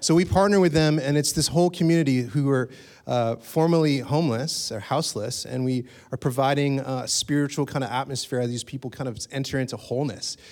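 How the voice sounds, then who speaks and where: A man talks at a fairly quick pace in a fairly high pitch with ordinary pitch variation, on a very clean recording with a silent background. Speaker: church pastor. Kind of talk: church welcome and introduction. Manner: excited, energetic.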